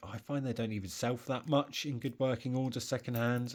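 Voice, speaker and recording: A man at medium pitch talks very fast with fairly even intonation. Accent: English. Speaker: watch collector video host. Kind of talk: casual show-and-tell vlog. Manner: casual, conversational.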